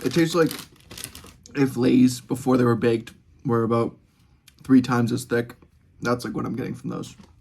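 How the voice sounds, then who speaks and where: Speaking fairly quickly in an American accent, a man is heard over noticeable background noise. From United States. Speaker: student vlogger. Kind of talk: casual chat. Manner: fast.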